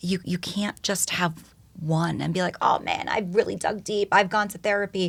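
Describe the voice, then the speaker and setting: A somewhat breathy woman with a New York accent, fairly low in pitch with ordinary pitch variation, at a moderate pace. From New York (Yonkers). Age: 40s. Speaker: educator and speaker. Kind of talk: casual chat.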